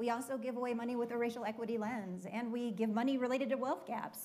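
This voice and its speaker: Fairly high-pitched and moving at a fairly quick pace, a woman talks in an unremarkable speaking voice. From Minnesota. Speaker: foundation leader; panelist. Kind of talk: panel discussion. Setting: stage with audience. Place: stage. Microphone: lapel.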